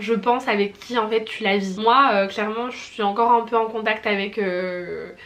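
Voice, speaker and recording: A woman's fairly high, monotone, flat voice at a moderate pace, over noticeable background noise. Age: 20s. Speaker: personal shopper. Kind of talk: casual talk to camera.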